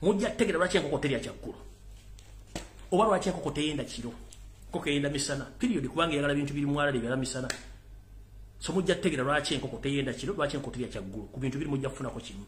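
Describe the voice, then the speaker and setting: A man with a fairly high pitch talks at a very fast pace yet takes long, frequent pauses, with ordinary pitch variation and audible room echo. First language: Luganda. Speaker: political commentator. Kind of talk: live political rant. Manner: loud; animated.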